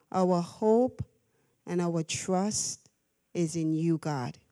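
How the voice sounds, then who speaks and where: This woman has a medium pitch, a dark, mellow tone, and ordinary pitch variation. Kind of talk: fervent prayer with scripture reading. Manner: passionate, intense.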